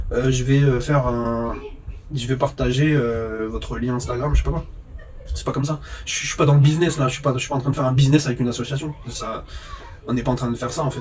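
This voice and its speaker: A man with a medium pitch talks very fast with fairly even intonation. Noticeable background noise is present. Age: 30s. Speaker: vlogger, phone repairer. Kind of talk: casual monologue vlog.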